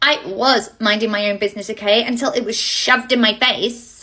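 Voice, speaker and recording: In a put-on character voice, a female-sounding voice, husky and fairly high for a woman, speaks at a moderate pace. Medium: comedy sketch.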